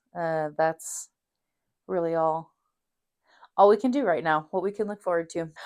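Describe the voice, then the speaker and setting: A woman with a fairly low pitch speaks at a moderate pace, with long, frequent pauses and ordinary pitch variation. The recording is very clean, with a silent background. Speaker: knitting podcaster. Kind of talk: casual vlog monologue. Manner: casual, many fillers.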